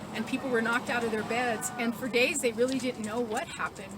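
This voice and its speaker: A woman speaks over noticeable background noise. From New Mexico, Tularosa Basin. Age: 60s. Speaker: activist. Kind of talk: interview testimony.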